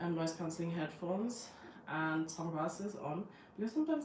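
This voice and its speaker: A woman's fairly low voice with fairly even intonation, plus audible room echo and noticeable background noise. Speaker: lifestyle vlogger. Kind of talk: casual live stream talk. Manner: halting, many fillers.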